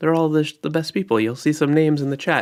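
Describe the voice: Over a silent background in a very clean recording, a man talks at a fairly quick pace in a nasal, fairly high voice with ordinary pitch variation.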